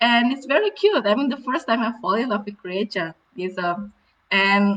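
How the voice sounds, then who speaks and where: A woman with a medium pitch and ordinary pitch variation talks at a moderate pace. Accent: Indonesian. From Indonesia. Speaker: marine conservation director. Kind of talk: storytelling talk. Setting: live virtual event. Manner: halting, with fillers.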